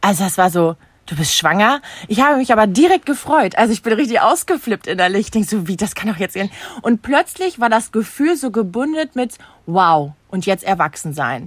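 The woman's fairly high voice swings very widely in pitch as she talks fairly quickly, recorded dry and close with no echo. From Germany, Münster area (NRW). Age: 30s. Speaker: social media influencer and mother. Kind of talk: casual chat.

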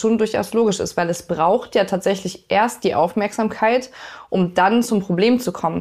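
On a very clean recording with a silent background, a woman with a normal speaking voice talks at a moderate pace with fairly even intonation. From northern Germany (Lübeck). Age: 30s. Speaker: police officer and climate activist. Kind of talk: interview. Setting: kitchen at home.

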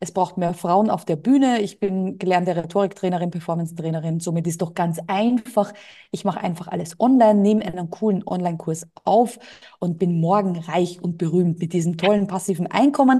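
Somewhat breathy, this woman's voice carries a dark, mellow tone and pitch that varies in an ordinary way. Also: medium pitch for a woman, fairly quick pace. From Austria. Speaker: entrepreneur and business coach. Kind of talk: interview.

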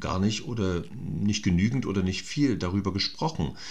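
This man has an unremarkable speaking voice, pitched fairly low with ordinary pitch variation, and talks at a moderate pace. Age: 50s. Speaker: actor. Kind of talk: casual chat.

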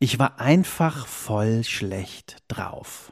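Very clean and recorded against a silent background, this man's delivery has lively intonation. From Cologne, western Germany. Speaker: diary slam performer. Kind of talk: reading aloud from own diary; casual interview chat.

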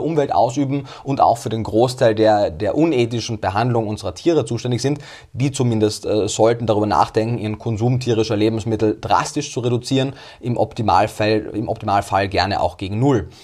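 A man with an Austrian accent speaks at a fairly quick pace. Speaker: nutrition scientist. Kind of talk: interview.

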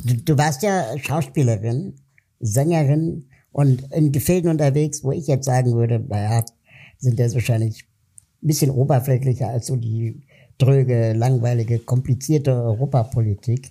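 A man speaks at a medium pitch with ordinary pitch variation. His tone is dark and mellow, and somewhat breathy. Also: moderate pace. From Germany (West Berlin). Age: 40s. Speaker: podcast host, political activist. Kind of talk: interview.

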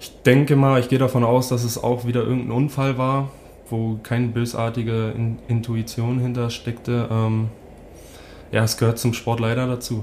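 A man with a slight Berlin accent speaks at a medium pitch in a monotone, flat intonation. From northern Germany, Hamburg (St. Pauli). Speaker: ice hockey player. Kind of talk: casual interview.

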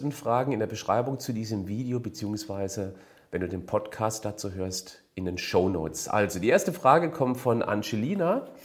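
A man speaks at a medium pitch. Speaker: fitness and nutrition coach. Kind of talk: Q&A advice monologue. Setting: video recording for a channel.

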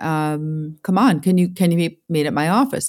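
Here a woman speaks at a very deep, low pitch with a New York accent. Her pace is fairly quick. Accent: New York American. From upstate New York, US. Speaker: music business executive. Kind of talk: interview.

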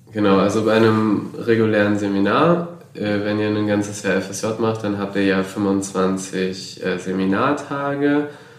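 Heard through audible room echo and noticeable background noise, a man with a fairly low voice speaks at a very slow pace. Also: ordinary pitch variation. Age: 20s. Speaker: volunteer in a voluntary social year. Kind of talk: casual interview. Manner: hesitant with frequent fillers.

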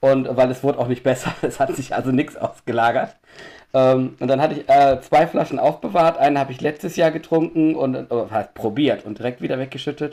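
A man with a dark, mellow tone and a fairly high pitch speaks at a fairly quick pace with ordinary pitch variation. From Düsseldorf, western Germany. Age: 40s. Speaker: homebrewer. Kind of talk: casual chat.

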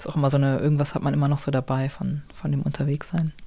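A woman's very deep, low voice, dark and mellow, at a moderate pace with fairly even intonation. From Hamburg, northern Germany. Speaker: novelist. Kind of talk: casual interview. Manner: hesitant, many fillers.

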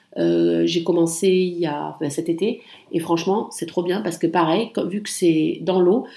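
A woman talks at a fairly slow pace with a fairly low pitch and vocal fry. Her tone is dark and mellow. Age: 30s. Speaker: podcast host. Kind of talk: casual solo monologue. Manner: hesitant, many fillers.

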